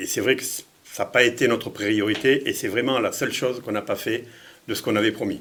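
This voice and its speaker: Talking at a very fast pace, a man keeps his intonation fairly even while his loudness swings widely. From France, Lyon. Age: 60s. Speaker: mayor running for re-election. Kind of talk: interview. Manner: halting, many repetitions and hesitations.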